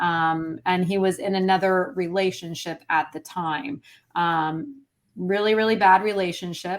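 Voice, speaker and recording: A woman of medium pitch speaks fairly slowly with ordinary pitch variation on a very clean recording with a silent background. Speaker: police spouse sharing her family's story. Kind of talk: interview testimony. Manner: hesitant, many fillers.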